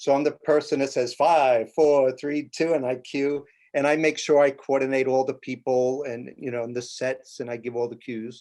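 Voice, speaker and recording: A man with a New York accent talks at a moderate pace, barely pausing, in a dark, mellow tone. His delivery is monotone and flat over a quiet background. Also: medium pitch for a man. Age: 60s. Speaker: television stage manager. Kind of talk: interview.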